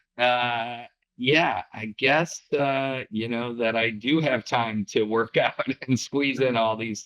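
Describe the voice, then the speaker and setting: A man speaks very slowly in a bright, sharp tone at a medium pitch, with fairly even intonation. The sound is dry and close, with no echo. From US Midwest, Chicago. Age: 60s. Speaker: business owner, litigation funding executive. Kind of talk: casual interview chat.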